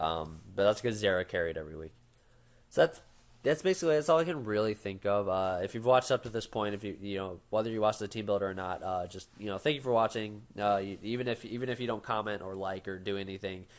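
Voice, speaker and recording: Speech comes at a very fast pace with ordinary pitch variation. The recording is very clean, the background silent. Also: man, fairly low pitch for a man. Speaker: gaming YouTuber. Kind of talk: casual commentary to camera. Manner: halting, many fillers.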